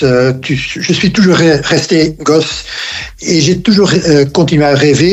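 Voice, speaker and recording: Noticeable background noise and audible room echo surround a man who speaks at a fairly slow pace with a fairly high pitch and ordinary pitch variation. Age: 70s. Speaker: app co-founder and ultralight pilot. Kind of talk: podcast interview. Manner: halting, many hesitations.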